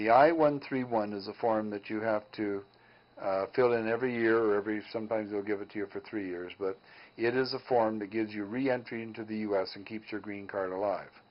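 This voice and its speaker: This is a plain, everyday voice with fairly even intonation, delivered at a fairly quick pace. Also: man, fairly low pitch for a man. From Canadian prairies. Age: 60s. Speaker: mortgage broker. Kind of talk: call-in advice show.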